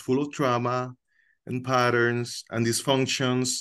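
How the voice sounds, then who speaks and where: In a Dominican accent, a man speaks at a very slow pace. The background is quiet. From Dominican Republic, Santiago. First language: Spanish. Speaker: co-host of a coincidence discussion group. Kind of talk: casual sharing in an online group session. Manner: hesitant, with many filler words.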